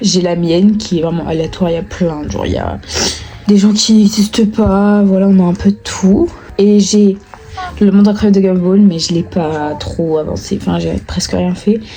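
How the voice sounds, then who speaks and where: Over noticeable background noise, a woman speaks at a moderate pace and medium pitch with fairly even intonation. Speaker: vlogger. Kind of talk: casual vlog talk to camera.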